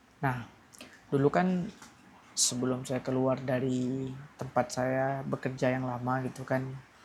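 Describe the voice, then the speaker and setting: Fairly even intonation and a medium pitch mark a man's speech, delivered at a fairly slow pace. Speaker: vlogger. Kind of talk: casual vlog monologue, personal venting. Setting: at home at night. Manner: hesitant, self-correcting.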